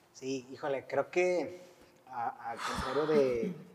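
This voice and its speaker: A man talks while noticeable background noise runs beneath him. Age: 40s. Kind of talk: testimony.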